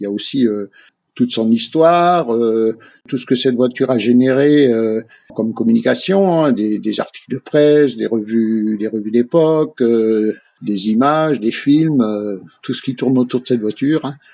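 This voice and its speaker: At a moderate pace, a man talks with a dark, mellow tone, medium pitch, and ordinary pitch variation. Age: 60s. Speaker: classic car club founder. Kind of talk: radio interview. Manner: halting, many hesitations.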